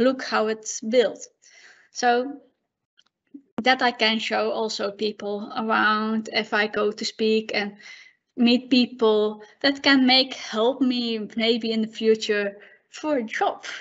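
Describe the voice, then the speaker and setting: A woman with fairly high pitch speaks at a very slow pace in a monotone, flat intonation. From Netherlands. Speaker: conference speaker. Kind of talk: conference talk with Q&A. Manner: halting.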